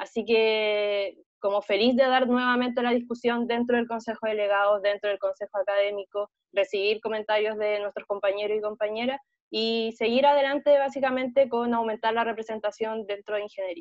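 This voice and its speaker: A woman's unremarkable speaking voice, fairly high in pitch with fairly even intonation and a fairly quick pace, dry with no echo over a quiet background. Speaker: student election candidate; election candidate. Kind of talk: debate. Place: home room. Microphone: earbuds.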